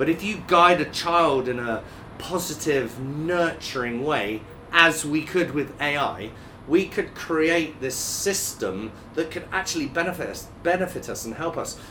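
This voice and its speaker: The man's voice sits fairly high for a man, with ordinary pitch variation. He speaks at a fairly slow pace over noticeable background noise. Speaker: former co-host. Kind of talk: casual chat. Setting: studio.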